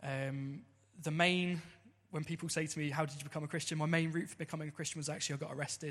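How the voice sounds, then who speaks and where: A man speaks in a southern English accent at a very fast pace and fairly high pitch. His intonation is monotone and flat, in a very clean recording with a silent background. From Southampton, southern England. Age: 30s. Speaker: church member. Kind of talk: testimony. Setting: church service. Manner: partly read from notes.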